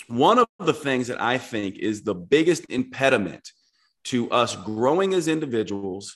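This is a man with an ordinary speaking voice. His pitch is medium and his pace moderate. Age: 40s. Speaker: naturopathic doctor and author. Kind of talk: casual chat.

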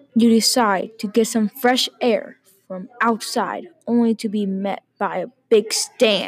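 Over music in the background, a woman speaks very slowly in a dramatic tone with fairly even intonation. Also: fairly high pitch for a woman. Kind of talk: horror narration, second-person scripted story. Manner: slow, ominous, dramatic.

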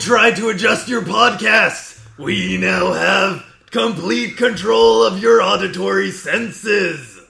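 A man does a loud, put-on character voice, high in pitch, at a fairly slow pace with hardly any pauses and audible echo. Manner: commanding, menacing.

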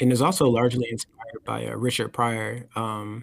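In an American accent, a man with a plain, everyday voice talks at a moderate pace, his medium pitch following fairly even intonation. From military child; US South (North Carolina, Texas) and Germany. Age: 30s. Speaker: musician and photographer. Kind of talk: casual chat.

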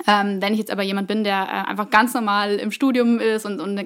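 This woman talks at a fairly quick pace in a plain, everyday voice, her pitch medium and her intonation fairly even. The recording is very clean, with a silent background. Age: 20s. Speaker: employer branding specialist. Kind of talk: interview.

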